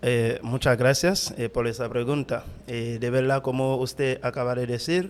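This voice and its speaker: Over noticeable background noise, a man with a non-native accent speaks fairly slowly at a medium pitch and with fairly even intonation. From Haiti, Cap-Haïtien. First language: Haitian Creole (speaking Spanish). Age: 30s. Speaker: pastor. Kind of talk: testimony interview. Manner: halting, many fillers.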